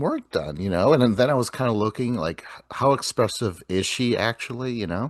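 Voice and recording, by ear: A man with lively intonation at a moderate pace.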